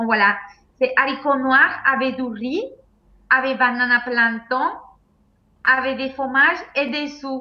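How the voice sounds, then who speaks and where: A woman with a Spanish accent speaks at a high pitch with fairly even intonation. Her pace is very slow, with long, frequent pauses. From Venezuela. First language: Spanish (speaking French). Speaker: sambo world champion athlete. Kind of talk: casual interview. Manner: halting. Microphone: laggy connection.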